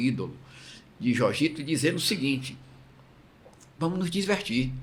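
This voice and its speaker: A somewhat breathy male voice. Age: 60s. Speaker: interviewer, former masters swimming association president. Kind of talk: interview.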